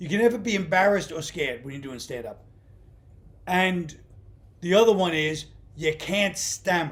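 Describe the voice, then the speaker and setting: A high-pitched man with a New York accent, big swings in loudness, and long, frequent pauses. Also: lively intonation, moderate pace. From Brooklyn, New York. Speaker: stand-up comedian. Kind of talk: interview answer, casual conversation.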